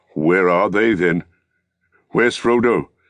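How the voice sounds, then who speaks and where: A man's put-on character voice, very deep and low, at a fairly slow pace. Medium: read story. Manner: blunt, urgent.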